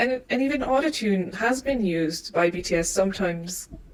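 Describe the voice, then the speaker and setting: With lively intonation, a woman talks while noticeable background noise is present. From Colombia. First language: Spanish. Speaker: K-pop fan commentator. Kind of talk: casual opinion monologue. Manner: hesitant, many restarts.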